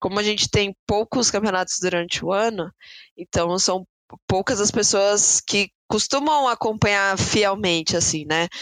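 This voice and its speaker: A woman's normal speaking voice at medium pitch, fairly slow in pace, with ordinary pitch variation and very even loudness, dry and close with no echo against a quiet background. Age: 20s. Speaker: esports player. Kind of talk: podcast interview.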